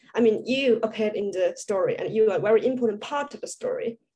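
A woman with a Chinese accent talks at a fairly quick pace, with ordinary pitch variation. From China. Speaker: student panel moderator. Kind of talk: panel interview. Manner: halting. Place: home room. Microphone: video call.

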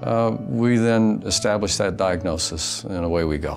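Clear background music behind a man speaking. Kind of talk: interview answer. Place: office.

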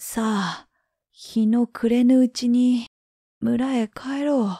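In a very clean, dry, close recording with a silent background and no echo, a woman speaks very slowly in a high, dark, mellow voice that is relaxed and calm, with monotone, flat intonation. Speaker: freelance announcer, former TV network caster. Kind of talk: folk tale reading. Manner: slow, relaxed, calm.

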